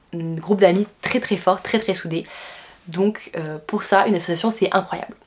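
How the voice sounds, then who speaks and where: A woman's voice with fairly even intonation and noticeable background noise. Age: 20s. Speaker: business school student. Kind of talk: vlog. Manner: casual, frequent hesitations.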